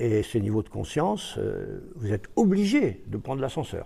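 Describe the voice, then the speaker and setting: In a very clean recording with a silent background, a man at a medium pitch sounds somewhat breathy, pairing a dark, mellow tone with lively intonation. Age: 80s+. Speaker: author and lecturer. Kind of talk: interview. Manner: hesitant.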